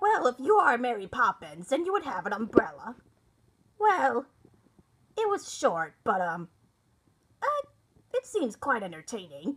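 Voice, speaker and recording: A woman performs a put-on character voice at a high pitch. She leaves long, frequent pauses. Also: moderate pace. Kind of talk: reaction video commentary.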